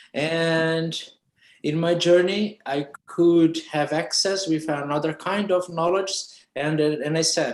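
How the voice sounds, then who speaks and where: A very slow delivery in a Portuguese accent. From Brazil. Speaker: architect and researcher. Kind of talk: interview. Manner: halting.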